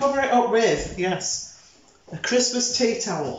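Music plays in the background and room echo is audible as a woman speaks at a very slow pace. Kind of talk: tutorial. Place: kitchen. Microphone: camera far.

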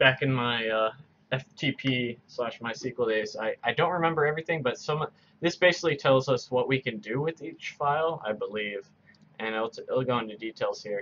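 With ordinary pitch variation, the man's speech moves at a medium speed. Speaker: coding tutor. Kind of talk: tutorial. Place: home room.

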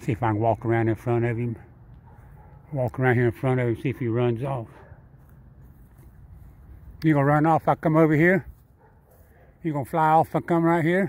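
The speech moves at a fairly quick pace with ordinary pitch variation. The sound is dry, with no echo. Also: man. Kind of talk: casual vlog chat. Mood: amused, relaxed. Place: street. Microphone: phone near.

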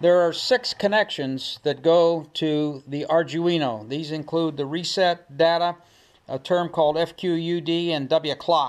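The recording is very clean, with a silent background. A man speaks fairly slowly with fairly even intonation. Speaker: ham radio homebrewer. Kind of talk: tutorial. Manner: loud; hesitant, many filler words.

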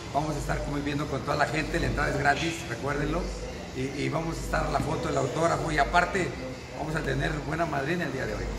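A man talking very fast over loud background noise. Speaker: boxing trainer promoting event. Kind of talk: promotional announcement. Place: gym. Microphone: phone near.

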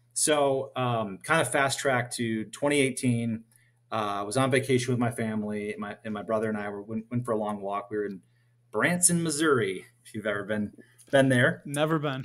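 A man with a Minnesota accent, medium pitch, ordinary pitch variation and a moderate pace. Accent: Upper Midwest (Minnesota) American. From US Midwest. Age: 40s. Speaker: dividend investor. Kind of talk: casual interview. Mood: friendly, relaxed storytelling.

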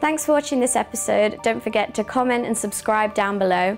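A woman talks at a fairly quick pace over faint music in the background. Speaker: presenter. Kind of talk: presenter commentary. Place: office. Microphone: lapel.

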